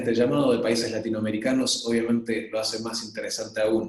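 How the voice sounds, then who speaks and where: A man with a medium-pitched, somewhat breathy voice speaks with an Argentine accent. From Argentina. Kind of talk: webinar presentation. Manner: hesitant, many fillers.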